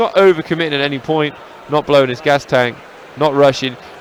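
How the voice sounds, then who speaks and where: A man's fairly high-pitched voice at a very fast pace, with noticeable background noise. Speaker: MMA commentator. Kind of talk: live commentary.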